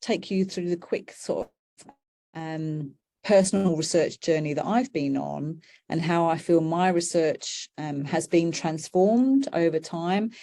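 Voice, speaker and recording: Woman's dark, mellow voice with lively intonation at a fairly slow pace. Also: very clean recording, silent background. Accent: British. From UK. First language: British Sign Language. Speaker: professor. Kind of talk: lecture. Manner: hesitant with fillers.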